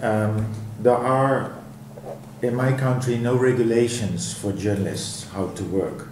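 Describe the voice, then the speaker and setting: There is audible room echo and noticeable background noise as a man of medium pitch with a Dutch accent speaks at a fairly slow pace with fairly even intonation. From Netherlands. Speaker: professor. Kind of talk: interview. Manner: halting.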